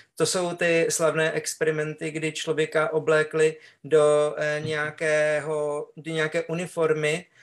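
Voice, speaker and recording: This man talks in a flat monotone at a fairly high pitch for a man. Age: 50s. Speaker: webinar host. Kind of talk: panel discussion.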